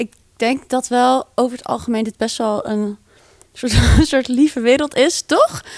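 Recorded with a dry, close sound and no echo, a woman speaks at a high pitch and a fairly slow pace with ordinary pitch variation. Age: 20s. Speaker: band frontwoman. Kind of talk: casual interview.

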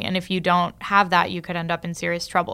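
A woman's voice, fairly low in pitch. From Italy. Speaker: venture capital investor. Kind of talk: interview conversation.

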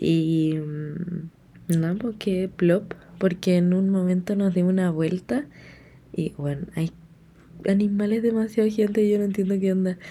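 A somewhat breathy woman speaks at a medium pitch and a fairly slow pace. Long, frequent pauses break up her speech. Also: very even loudness. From Chile. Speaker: podcaster. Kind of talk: casual chat. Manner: chatty, laughing.

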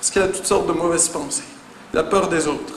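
With audible room echo and noticeable background noise, a man talks in an animated tone. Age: 20s. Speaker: pastor. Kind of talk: sermon.

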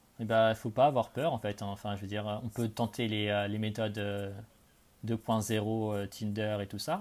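On a very clean recording with a silent background, a man speaks at a fairly slow pace in a fairly low, monotone, flat voice. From France, Charente (Cognac). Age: 20s. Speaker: expat in Australia. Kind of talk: casual interview.

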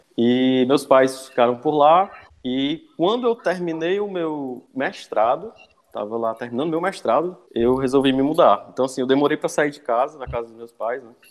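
An unremarkable speaking voice at a moderate pace, with ordinary pitch variation and big swings in loudness. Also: man, fairly high pitch for a man. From Ceará east coast, Brazil (Cascavel). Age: 20s. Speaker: structural engineer and university lecturer. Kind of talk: podcast interview.

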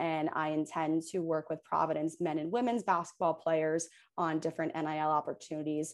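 An ordinary speaking voice in an American accent comes through at a moderate pace. The background is quiet. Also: woman. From Hoboken, New Jersey. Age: 20s. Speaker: law student and sports agent. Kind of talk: interview.

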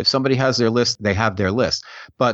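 Speaking with a New York accent, a man talks at a fairly quick pace and medium pitch. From New York area. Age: middle-aged. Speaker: author. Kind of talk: casual chat.

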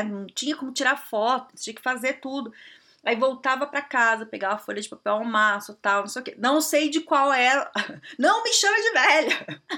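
Raised and projected, a woman's high-pitched voice has a bright, sharp tone, lively intonation, and a moderate pace. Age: 30s. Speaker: career coach and podcast host. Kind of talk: solo podcast monologue, advice. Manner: casual, conversational with many fillers.

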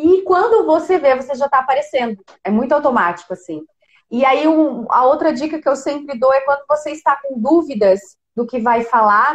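Swinging very widely in pitch, a woman with a high voice speaks at a moderate pace. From Brazil, Criciúma, Santa Catarina. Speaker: digital influencer and robotics teacher. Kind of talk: casual interview.

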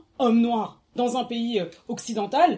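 The speaker is a woman. Background noise is noticeable. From France, Seine-Saint-Denis (93). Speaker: artist and podcaster, book discussion guest. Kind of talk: casual book discussion.

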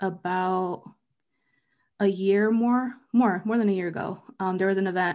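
An unremarkable speaking voice with an American accent, fairly even intonation and a fairly slow pace, on a very clean recording with a silent background. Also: woman. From US East Coast, half Mexican heritage. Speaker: podcast co-host. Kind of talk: casual chat.

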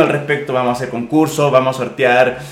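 With a Chilean accent, a man speaks in a flat monotone amid noticeable background noise and audible room echo. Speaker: podcast co-host. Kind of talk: casual chat.

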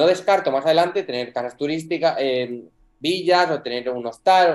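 A man with a normal speaking voice, fairly high pitch, ordinary pitch variation and a fairly quick pace. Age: 20s. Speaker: property rental entrepreneur. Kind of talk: interview.

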